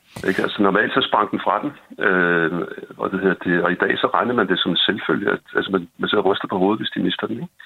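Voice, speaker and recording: A man with a very deep, low pitch talks fairly quickly, his pitch varying in an ordinary way. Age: 60s. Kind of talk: casual podcast conversation. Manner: hesitant, repeats words.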